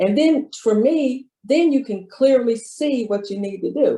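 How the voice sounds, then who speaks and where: A woman with a dark, mellow tone speaks with lively intonation. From US Midwest. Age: 70s. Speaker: retired public official, financial speaker. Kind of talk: interview.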